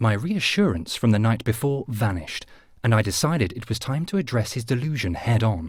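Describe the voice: The speaker is plainly reading aloud with lively intonation.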